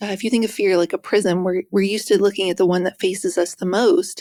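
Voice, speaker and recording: Soft-spoken and at a medium pitch, a woman with an American accent talks at a fairly quick pace on a very clean recording with a silent background. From West Virginia. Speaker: author and speaker. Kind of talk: interview.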